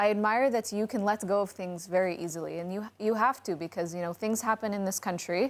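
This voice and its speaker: With a normal speaking voice, a woman talks fairly quickly at medium pitch, with ordinary pitch variation and hardly any pauses. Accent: American. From United States. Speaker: podcast co-host. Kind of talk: casual panel chat.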